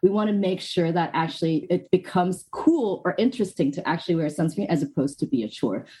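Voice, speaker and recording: A woman talks at a very fast pace with hardly any pauses and lively intonation. Her fairly low voice is somewhat breathy, with a dark, mellow tone. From Hong Kong. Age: 30s. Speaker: skincare brand founder. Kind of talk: interview. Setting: video call.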